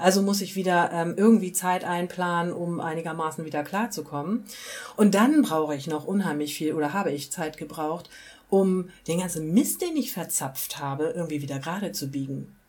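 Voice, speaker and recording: Over noticeable background noise, a woman talks at a moderate pace with a fairly low pitch and ordinary pitch variation. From rural Germany. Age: 40s. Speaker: recovering alcoholic interviewee. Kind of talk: personal testimony interview.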